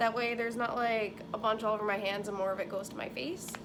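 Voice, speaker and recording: Noticeable background noise and audible room echo surround a woman speaking very fast at a fairly high pitch with ordinary variation. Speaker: beauty vlogger. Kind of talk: tutorial. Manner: casual, filler-heavy; loud.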